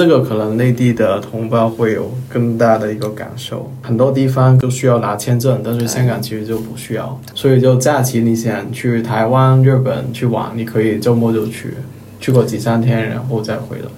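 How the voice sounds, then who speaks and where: A man with a Cantonese accent talks at a moderate pace and medium pitch in a monotone, flat intonation. Audible room echo and noticeable background noise fill the recording. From Hong Kong. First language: Cantonese (speaking Chinese). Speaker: office worker. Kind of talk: casual chat.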